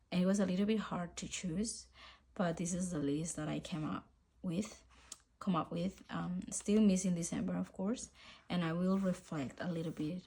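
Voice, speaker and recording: In a Spanish accent, a woman speaks at a moderate pace with a fairly low pitch, a dark, mellow, somewhat breathy tone and ordinary pitch variation. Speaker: journaling YouTuber. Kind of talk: casual vlog chat. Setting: home filming, rainy day. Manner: relaxed, hesitant with fillers.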